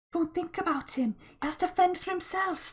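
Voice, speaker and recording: A woman adopts a squeaky, put-on character voice pitched extremely high, talking at a moderate pace. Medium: read story. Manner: firm, urgent.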